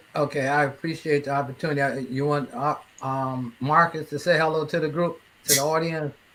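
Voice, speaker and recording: With fairly even intonation, a man speaks at a fairly high pitch in a bright, sharp tone. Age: 60s. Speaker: cancer survivor and health advocate. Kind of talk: interview. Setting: live online broadcast. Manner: repetitive false starts.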